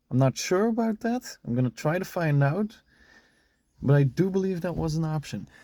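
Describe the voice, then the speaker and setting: The tone is dark and mellow, with lively intonation and a non-native accent. The pace is moderate, and the sound is dry and close with no echo. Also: man, high pitch for a man. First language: not English. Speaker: car enthusiast vlogger. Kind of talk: car walkaround review. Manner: halting.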